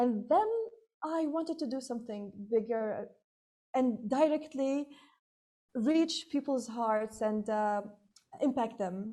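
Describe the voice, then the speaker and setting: Very slowly, a woman speaks in a fairly high pitch with a dark, mellow tone. Her pitch varies in an ordinary way. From Libya. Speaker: entrepreneur and public speaking coach. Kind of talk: casual interview.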